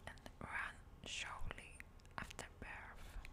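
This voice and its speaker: Amid noticeable background noise, a woman whispers very slowly. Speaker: ASMR creator. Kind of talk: ASMR nature vlog. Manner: whispered.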